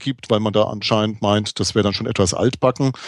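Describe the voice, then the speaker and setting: In a slight Franconian accent, a man with a fairly low pitch speaks at a fairly quick pace with fairly even intonation on a very clean recording with a silent background. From Franconia, Germany. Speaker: podcast co-host. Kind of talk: casual chat. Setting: live recording at a conference.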